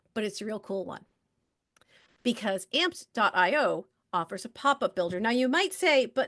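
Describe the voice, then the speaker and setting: With a fairly high pitch and very wide pitch swings, a woman speaks in an animated tone at a fairly quick pace. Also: quiet background. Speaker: marketing workshop presenter. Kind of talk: webinar presentation. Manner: fast.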